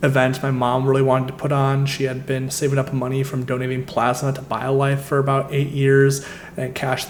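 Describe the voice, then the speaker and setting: Through audible room echo and noticeable background noise, a man with a Midwestern American accent speaks at a medium pitch and a fairly quick pace. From US Midwest. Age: 20s. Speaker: travel and credit card points vlogger. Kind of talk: casual presentation walkthrough.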